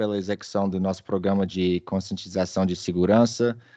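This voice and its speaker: A man speaks with a Minas Gerais accent and a dark, mellow tone. The background is quiet. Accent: Brazilian Portuguese, Minas Gerais. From Brazil, Belo Horizonte, Minas Gerais. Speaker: data protection executive, webinar presenter. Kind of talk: webinar presentation. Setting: online webinar. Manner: hesitant, with fillers and repetitions.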